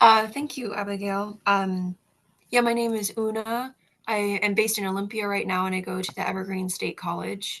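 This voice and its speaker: In a normal speaking voice, this woman talks at a medium pitch and moderate pace. Her intonation stays fairly even. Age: 20s. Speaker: college student activist. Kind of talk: interview.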